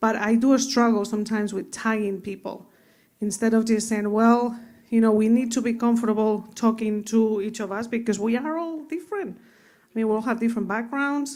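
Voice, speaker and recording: Speaking with a Spanish accent, a woman uses a fairly high pitch and fairly even intonation at a moderate pace, her loudness swinging widely. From Spain (Madrid). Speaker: finance executive. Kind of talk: panel discussion.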